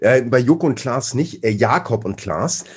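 A man, somewhat breathy, at a very slow pace. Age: 40s. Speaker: strength athlete. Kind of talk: casual chat.

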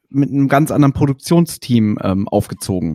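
Captured on a very clean recording with a silent background, an ordinary speaking voice moves at a moderate pace with a dry, close sound and no echo. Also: man. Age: 30s. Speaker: podcast host. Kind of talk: casual interview.

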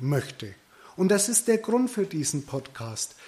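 Here a man speaks at a high pitch and a fairly slow pace. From Middle Franconia, Bavaria. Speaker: podcast host, hairdressing business owner. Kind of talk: solo podcast monologue.

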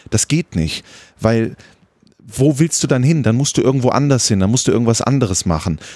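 With a dark, mellow tone, a man speaks at medium pitch and a fairly quick pace, his intonation lively and his loudness very even, broken by long, frequent pauses. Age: 30s. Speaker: football commentator. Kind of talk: casual chat. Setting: outdoors on a terrace.

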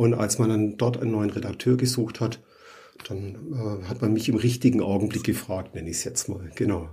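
A man talks at a moderate pace in a fairly low, somewhat breathy voice with a dark, mellow tone and ordinary pitch variation. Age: 50s. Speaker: plumber and trade magazine editor. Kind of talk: interview.

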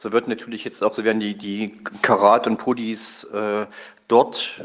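A man talks slowly-ish, at a fairly slow pace and a fairly low pitch. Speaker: listener. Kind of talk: voice message. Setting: recorded voice message.

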